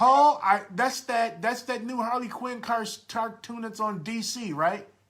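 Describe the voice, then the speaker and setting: A loud man's voice at an extremely high pitch. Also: ordinary pitch variation. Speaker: podcast host. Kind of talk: casual chat. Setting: live stream at home. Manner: halting, repeats words.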